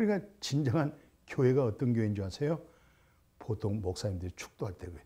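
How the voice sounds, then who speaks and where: In a very clean recording with a silent background, a somewhat breathy voice of dark, mellow tone rushes at a very fast pace, with very wide pitch swings and long, frequent pauses. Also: man, medium pitch for a man. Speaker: pastor. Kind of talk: sermon. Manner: raised, emphatic intonation; animated.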